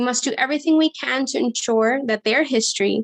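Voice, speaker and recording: A woman with ordinary pitch variation, in a dry, close sound with no echo. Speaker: nonprofit program coordinator hosting a town hall. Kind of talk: opening remarks at an online town hall. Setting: Zoom video call. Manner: fast.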